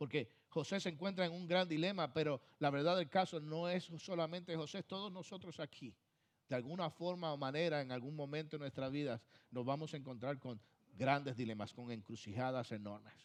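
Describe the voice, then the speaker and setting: Against a quiet background, a man talks at a fairly quick pace in a fairly high pitch with ordinary pitch variation. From Puerto Rico. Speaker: pastor. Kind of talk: sermon. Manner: emphatic, repetitive preaching.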